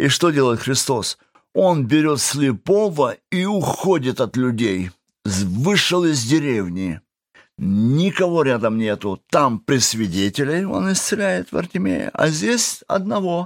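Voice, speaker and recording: A man with a fairly high pitch talks at a very slow pace, his pitch swinging very widely. The recording is very clean with a silent background and a dry, close sound with no echo. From Kazakhstan (Russian-German family). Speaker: prison and addiction ministry worker. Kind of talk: testimony. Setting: studio.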